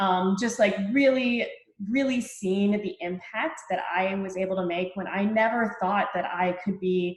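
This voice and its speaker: The woman's delivery is fairly slow, and her pitch varies in an ordinary way. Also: medium pitch for a woman. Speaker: fitness coach. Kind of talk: testimony.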